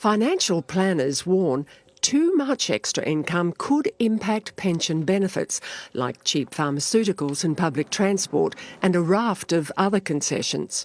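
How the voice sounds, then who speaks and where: A woman with an Australian accent speaks at a fairly slow pace and a medium pitch, with very wide pitch swings, in a dry, close sound with no echo. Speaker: TV news reporter. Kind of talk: TV news report.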